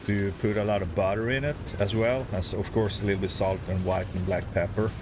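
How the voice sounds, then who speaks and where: A man with a southern Swedish accent speaks at a fairly quick pace and a fairly low pitch. Noticeable background noise is present. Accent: Swedish-accented English, Scanian. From southern Sweden (Skåne). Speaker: gaming livestreamer. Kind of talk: casual chat.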